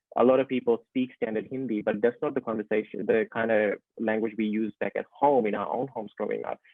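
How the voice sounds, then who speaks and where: The speech runs at a very fast pace with hardly any pauses and fairly even intonation. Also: man, medium pitch for a man. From Fiji. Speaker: children's author and teacher. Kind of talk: interview over video call. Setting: video call.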